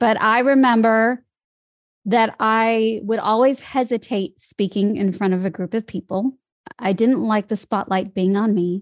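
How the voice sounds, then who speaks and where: A woman with an American accent speaks in an ordinary speaking voice at a fairly slow pace, her pitch fairly high and her intonation fairly even, with a dry, close sound, no echo and a quiet background. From US Midwest. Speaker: voice and dialect coach. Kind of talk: casual interview chat. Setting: online call.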